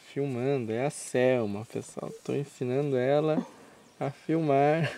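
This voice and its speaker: Speech at a very slow pace comes through with a dry sound, no echo, and light background noise. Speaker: amateur video narrator. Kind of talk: casual travel commentary. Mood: relaxed, amused. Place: waterside. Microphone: old recording.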